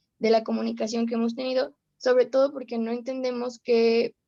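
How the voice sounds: A woman talks at a fairly quick pace in a dark, mellow tone.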